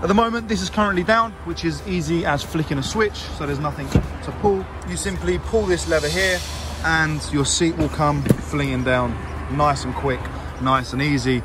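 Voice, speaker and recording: A man's voice, dry with no echo, against loud background noise. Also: moderate pace. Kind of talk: product walkaround commentary. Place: car. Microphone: phone near.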